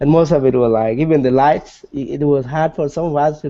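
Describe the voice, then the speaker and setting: A man with a South Sudanese accent talks at a moderate pace with fairly even intonation. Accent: South Sudanese (Dinka) English. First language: Dinka. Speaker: nonprofit executive director. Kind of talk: interview.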